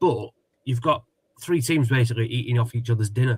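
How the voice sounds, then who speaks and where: A somewhat breathy man's voice at medium pitch, delivered at a very fast pace. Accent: Sussex. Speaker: football show host. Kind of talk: casual chat.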